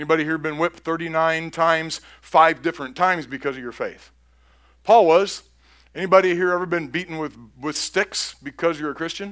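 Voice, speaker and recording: In an ordinary speaking voice, a man with a fairly high pitch talks at a fairly quick pace and fairly even intonation, captured on a very clean recording with a silent background. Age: 60s. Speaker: pastor. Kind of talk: sermon.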